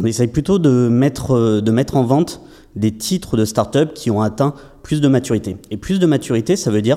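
A man with a dark, mellow tone speaks at a medium pitch and fairly quick pace, his intonation lively. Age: 30s. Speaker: startup founder and investment platform entrepreneur. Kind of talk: podcast interview.

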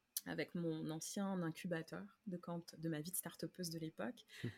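A woman with a fairly low pitch speaks at a fairly slow pace in a somewhat breathy voice. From France, Paris. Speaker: slow-living business coach and podcaster. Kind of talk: interview conversation.

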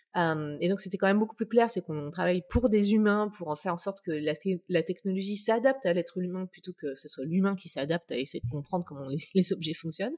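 A woman talks fairly quickly at medium pitch with hardly any pauses, ordinary pitch variation and big swings in loudness, in a dry, close sound with no echo. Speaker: UX consultant and author. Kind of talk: interview. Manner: halting.

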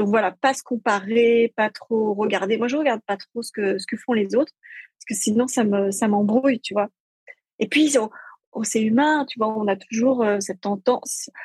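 In a dry, close sound with no echo, a woman with a fairly high pitch speaks somewhat breathily, her intonation fairly even but her loudness swinging widely. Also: moderate pace. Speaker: entrepreneur and lifestyle blogger. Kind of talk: casual interview. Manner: joyful, simple delivery.

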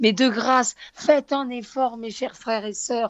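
Pitch varies in an ordinary way as the voice moves at a fairly slow pace. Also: woman. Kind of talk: religious talk radio.

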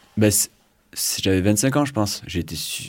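A man talks at a fairly quick pace with lively intonation. The recording is very clean, with a silent background. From southwest France (Pyrénées-Atlantiques). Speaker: engineer and climate activist. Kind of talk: casual radio interview. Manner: halting, many fillers and repetitions.

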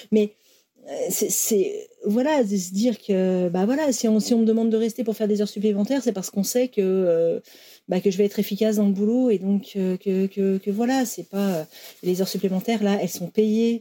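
A woman speaks at a moderate pace and medium pitch, her tone dark and mellow. Her intonation is fairly even, on a very clean recording with a silent background. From France, Lyon area. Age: 40s. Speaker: former German teacher, factory worker. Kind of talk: interview testimony. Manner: halting, many repetitions and fillers.

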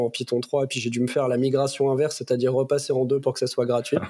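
A man speaks very fast at a medium pitch, his dark, mellow tone held in a monotone, flat intonation. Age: 30s. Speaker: tech executive (CTO). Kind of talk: casual interview.

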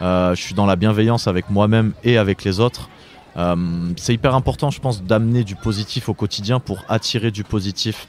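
Speaking at a fairly quick pace, a man with a fairly low pitch and ordinary pitch variation comes through on a very clean recording with a silent background. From France, Drôme. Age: 20s. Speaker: author and event organiser. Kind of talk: interview. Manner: hesitant, with repetitions.

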